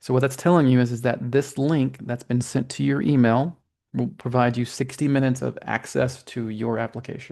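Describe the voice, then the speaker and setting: This man has a medium-pitched, dark, mellow voice and fairly even intonation. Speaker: webinar presenter. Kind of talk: instructional webinar walkthrough. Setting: online webinar. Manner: fast.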